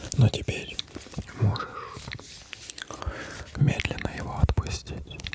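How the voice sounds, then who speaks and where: A man whispers in a calm tone at a very slow pace, with long, frequent pauses. Noticeable background noise is present. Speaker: ASMR creator. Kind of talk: ASMR role-play as a psychologist, calming guidance. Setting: studio microphone, gameplay in the background. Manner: whispered, soft, calm.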